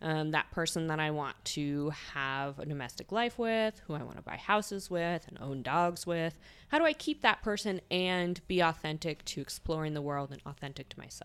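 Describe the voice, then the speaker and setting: In an American accent, a woman speaks with a normal speaking voice at a moderate pace and fairly low pitch. Her pitch variation is ordinary, while her loudness swings widely. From eastern Idaho, US. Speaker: polyamory discussion group organizer. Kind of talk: casual chat.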